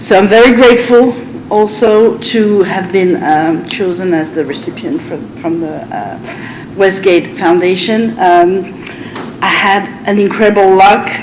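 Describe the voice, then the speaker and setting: In a French accent, a woman with medium pitch speaks at a fairly slow pace with ordinary pitch variation, over noticeable background noise and audible room echo. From France. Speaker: French teacher. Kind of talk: public meeting presentation. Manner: halting.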